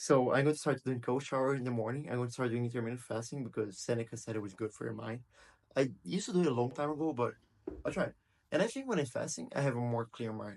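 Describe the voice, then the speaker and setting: With a Portuguese accent, a man speaks at a very fast pace in a medium pitch with ordinary pitch variation. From Brazil. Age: 20s. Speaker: video blogger. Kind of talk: casual monologue. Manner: unscripted, halting.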